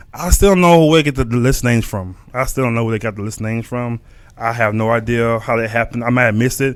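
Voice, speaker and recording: A man at a medium pitch talks at a very fast pace. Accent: Texan. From Texas. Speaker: podcast host. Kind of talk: casual livestream podcast talk. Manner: halting, many fillers and repetitions.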